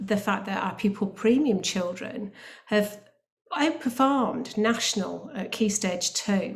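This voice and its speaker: Somewhat breathy, a woman speaks at medium pitch and a fairly slow pace with lively intonation. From northern England, Bolton. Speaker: academy trust chief executive. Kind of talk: panel presentation. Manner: hesitant, with frequent fillers.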